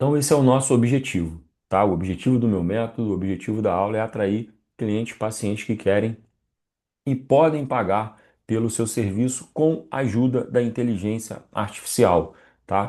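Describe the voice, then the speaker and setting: Ordinary pitch variation shapes a man's dark, mellow tone. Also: medium pitch for a man, quiet background. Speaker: online marketing instructor. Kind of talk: live online class. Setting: live stream with chat. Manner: fast.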